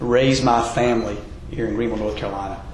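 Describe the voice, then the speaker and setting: Audible room echo and noticeable background noise surround a man who talks very fast at medium pitch with fairly even intonation. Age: 40s. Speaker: mayoral candidate. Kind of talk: political debate.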